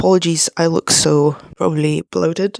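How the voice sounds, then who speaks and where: A woman's voice comes through quietly. Her pitch varies in an ordinary way. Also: dry, close sound with no echo. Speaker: vlogger. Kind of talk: personal vlog confession. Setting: at home at night, sitting on floor. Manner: quiet, hushed.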